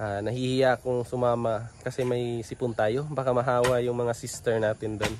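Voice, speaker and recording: At a moderate pace, a man speaks in a flat monotone. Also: medium pitch for a man, hardly any pauses. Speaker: vlogger. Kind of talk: casual vlog. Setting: at home.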